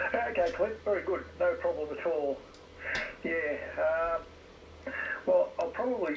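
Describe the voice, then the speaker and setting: A man with an Australian accent, fairly slow speech broken by long, frequent pauses, over noticeable background noise. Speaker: amateur radio operator. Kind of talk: casual radio chat. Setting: radio shack at home.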